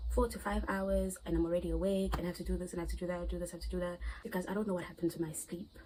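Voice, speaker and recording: A woman is talking, and there is noticeable noise in the background. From South Africa. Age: 20s. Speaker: vlogger. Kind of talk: casual vlog chat. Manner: loud.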